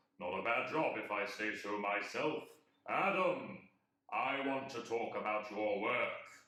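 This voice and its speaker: A man's put-on character voice at medium pitch, moderate pace and slight echo. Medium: audio drama. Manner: playful, self-satisfied, deadpan.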